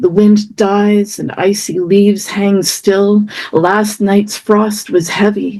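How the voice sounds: Natural voice, reading.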